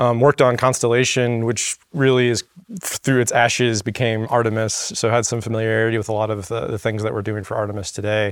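On a very clean recording with a silent background, a man with an unremarkable speaking voice and an American accent speaks at a fairly quick pace, his medium pitch holding fairly even intonation. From Florida. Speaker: flight director. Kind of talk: casual chat. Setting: studio.

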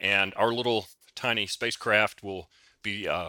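At a fairly slow pace, a man talks in a normal speaking voice with a fairly low pitch. The recording is very clean, with a silent background. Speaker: physicist. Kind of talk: interview.

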